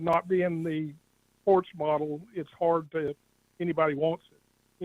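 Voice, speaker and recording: A man with a fairly high pitch talks fairly slowly in a monotone, flat way, the sound dry and close with no echo. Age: 70s. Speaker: caller. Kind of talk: phone call to radio show. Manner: halting.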